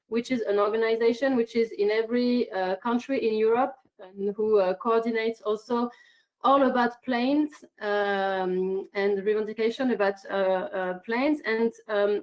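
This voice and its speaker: A woman with a French accent speaks at a moderate pace and a fairly high pitch with ordinary pitch variation. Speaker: climate activist. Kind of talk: online conference statement. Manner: halting, many fillers.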